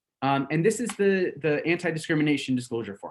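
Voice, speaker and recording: The intonation of this man is lively. It is a very clean recording with a silent background. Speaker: real estate trainer. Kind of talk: role-play sales consultation demo. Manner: fast.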